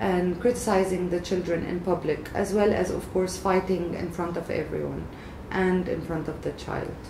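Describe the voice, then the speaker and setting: Over noticeable background noise, a woman speaks at a fairly slow pace with monotone, flat intonation. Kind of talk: expert explainer. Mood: calm, serious. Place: office.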